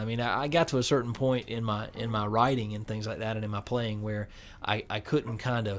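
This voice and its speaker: A man with a North Carolina accent, medium-pitched and at a moderate pace. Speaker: guitarist and producer. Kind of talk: radio interview. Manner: halting, many repetitions.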